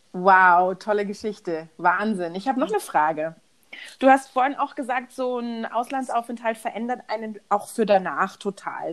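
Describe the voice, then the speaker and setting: An animated tone with ordinary pitch variation. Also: woman. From Munich, Bavaria. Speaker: podcast host. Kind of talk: casual chat.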